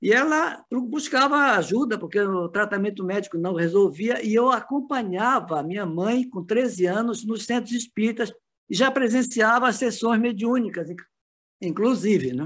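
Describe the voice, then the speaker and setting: The pitch varies in an ordinary way. The pace of delivery is moderate. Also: man, high pitch for a man. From northern Brazil, Belém do Pará. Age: 70s. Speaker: spiritist movement veteran. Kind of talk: interview conversation.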